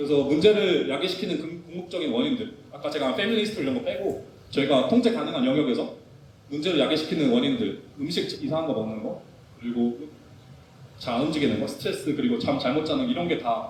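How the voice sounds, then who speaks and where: A man at a very fast pace, with very wide pitch swings and audible room echo. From South Korea. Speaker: physical therapist. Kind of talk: lecture.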